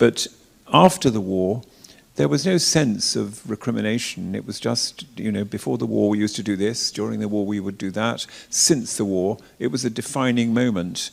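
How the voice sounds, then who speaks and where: In an RP accent, a man speaks at a moderate pace with a fairly low pitch and ordinary pitch variation. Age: 70s. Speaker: retired cathedral dean. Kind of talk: interview talk. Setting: church forum with live audience. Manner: halting, repeats words.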